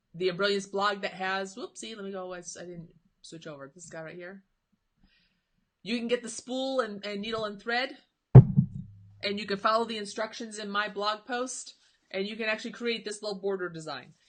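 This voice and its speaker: With music in the background, the voice moves at a moderate pace, with ordinary pitch variation and big swings in loudness. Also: woman, medium pitch for a woman. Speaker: embroidery software teacher. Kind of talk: live-stream tutorial with viewer Q&A. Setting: Facebook live stream.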